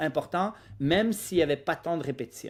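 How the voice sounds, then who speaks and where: A man with a plain, everyday voice, fairly high-pitched, with lively intonation at a moderate pace, on a very clean recording with a silent background. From Quebec, Lac-Saint-Jean (immigrated at 10). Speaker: physiotherapist, running clinic founder. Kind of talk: podcast interview.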